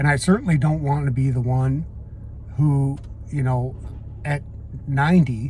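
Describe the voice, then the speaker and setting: A man's medium-pitched voice, with ordinary pitch variation, proceeds at a moderate pace. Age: 60s. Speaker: retirement vlogger. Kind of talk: casual monologue. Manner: halting.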